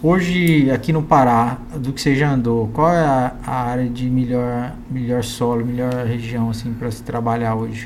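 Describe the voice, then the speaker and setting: At a moderate pace and with hardly any pauses, a man of medium pitch talks with fairly even intonation over noticeable background noise. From Minas Gerais, Triângulo Mineiro. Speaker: agribusiness podcast host. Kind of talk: casual interview chat. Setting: studio.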